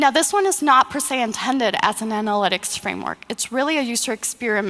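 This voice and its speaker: A woman speaks at a very fast pace in a high voice with lively intonation. Noticeable background noise runs underneath. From Mexico. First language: Spanish. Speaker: user experience designer. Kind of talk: conference presentation.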